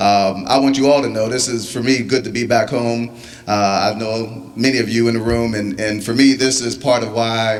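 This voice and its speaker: A man with fairly even intonation, amid noticeable background noise and audible room echo. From Pittsburgh, Pennsylvania. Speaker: company executive. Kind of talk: community meeting speech. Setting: community meeting with audience.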